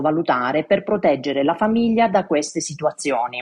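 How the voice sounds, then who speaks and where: Lively intonation rides on a dark, mellow tone. The pace is fairly quick. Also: woman. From Italy, Matera (Basilicata). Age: 50s. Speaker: financial and insurance advisor. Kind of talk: expert explanation. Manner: formal.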